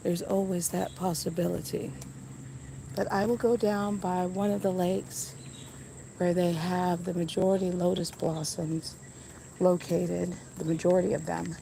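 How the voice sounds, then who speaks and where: A woman speaks at a fairly low pitch with fairly even intonation. Long, frequent pauses come through amid audible room echo. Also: moderate pace. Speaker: nature livestreamer. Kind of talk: live walking tour stream. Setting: outdoors in a garden.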